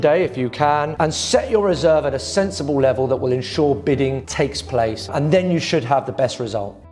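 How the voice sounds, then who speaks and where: With a British accent and lively intonation, the speaker moves at a fairly quick pace over noticeable background noise. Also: man. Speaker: property auctioneer. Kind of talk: corporate explainer talk to camera giving advice.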